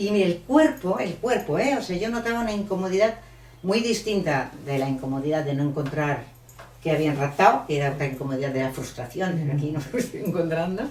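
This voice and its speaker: A woman with a fairly low pitch talks at a fairly quick pace, her pitch swinging very widely. Noticeable background noise and audible room echo fill the recording. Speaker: author. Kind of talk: book presentation talk. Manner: animated.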